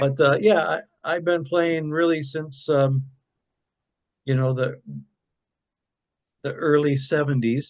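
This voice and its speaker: A man speaks at a very slow pace with an Upper Midwest accent. His intonation stays fairly even, broken by long, frequent pauses. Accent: Upper Midwest American. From Michigan (Kalamazoo). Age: 70s. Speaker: singer-songwriter. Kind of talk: interview. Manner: casual, rambling with fillers.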